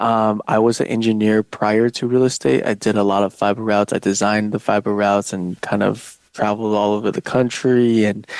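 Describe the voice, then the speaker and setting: With a Chinese accent, a man speaks at a fairly low pitch and fairly quick pace, with hardly any pauses and monotone, flat intonation, in a very clean recording with a silent background and a dry, close sound with no echo. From southern China, moved to US at eight. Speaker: real estate agent. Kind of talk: podcast interview. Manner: hesitant, many fillers.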